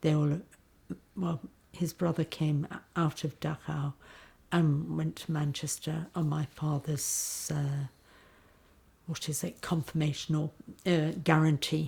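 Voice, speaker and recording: Speaking at a fairly slow pace with long, frequent pauses, a woman uses a very deep, low pitch and a dark, mellow tone, somewhat breathy and monotone with flat intonation, on a very clean recording with a silent background. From Yorkshire, northern England. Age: 70s. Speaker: daughter of a refugee. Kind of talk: testimony. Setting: interview in London. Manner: halting.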